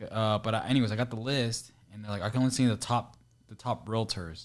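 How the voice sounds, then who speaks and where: Talking at a very fast pace with an American accent, a man holds a medium pitch and fairly even intonation in a very clean recording with a silent background. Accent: Mexican accent, but more American. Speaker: real estate investor, interviewer. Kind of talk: casual chat.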